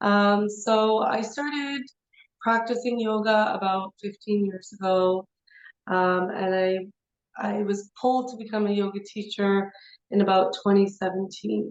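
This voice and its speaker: A woman speaks in a Canadian accent with a plain, everyday voice. Her pace is fairly slow and her intonation fairly even. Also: medium pitch for a woman. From Canada (Toronto). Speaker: yoga teacher. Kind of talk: interview.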